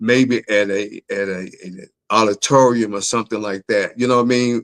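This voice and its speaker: With a Southern accent, a man speaks in an animated tone at medium pitch. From Memphis, US South. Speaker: author and doctor. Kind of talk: interview on a live talk show.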